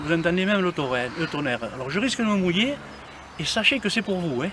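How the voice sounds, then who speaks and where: Through noticeable background noise comes a man's high-pitched voice with lively intonation. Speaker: walking group leader. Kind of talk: casual vlog walking tour. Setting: outdoors. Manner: speaking softly.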